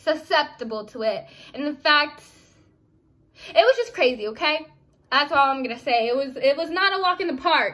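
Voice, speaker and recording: Raising and projecting her voice, a woman speaks at a moderate pace with high pitch, a bright, sharp tone, lively intonation and long, frequent pauses. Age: young. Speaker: vlogger. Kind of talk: casual vlog talk. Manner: halting, many fillers.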